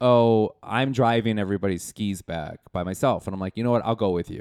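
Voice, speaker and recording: The voice is a plain, everyday voice with an American accent. Its pitch variation is ordinary. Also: man. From Wisconsin, Milwaukee. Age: 40s. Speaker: comedian. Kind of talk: casual chat.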